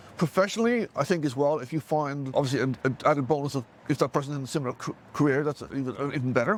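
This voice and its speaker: A man speaks at a very fast pace. His pitch is fairly high, with ordinary variation. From Ireland. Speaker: project manager and mentor. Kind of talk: interview. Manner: halting, many repeated words.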